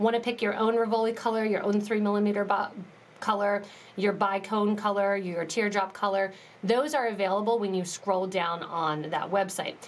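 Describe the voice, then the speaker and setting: In a plain, everyday voice, a woman speaks at a medium pitch and moderate pace with fairly even intonation. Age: 30s. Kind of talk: live tutorial. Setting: live stream.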